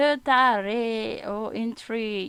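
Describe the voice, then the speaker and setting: A woman speaks at a high pitch with a Malaysian accent. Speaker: vlogger practising English. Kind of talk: casual vlog, language practice. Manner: halting, hesitant.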